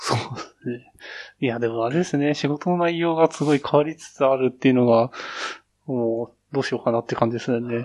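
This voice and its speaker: This man has an unremarkable speaking voice at a medium pitch with ordinary variation. He talks at a fairly quick pace. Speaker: office worker. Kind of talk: casual chat. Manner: casual, laughs often.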